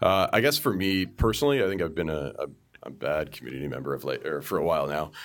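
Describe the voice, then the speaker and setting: A man talks very fast with a Canadian accent and vocal fry. The recording is very clean, with a silent background. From Canada, Toronto suburbs (Markham). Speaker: software engineer. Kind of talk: casual chat.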